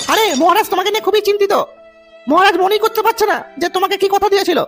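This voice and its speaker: A cartoonish character voice rattles along at a very fast pace over faint music in the background. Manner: calm, coaxing.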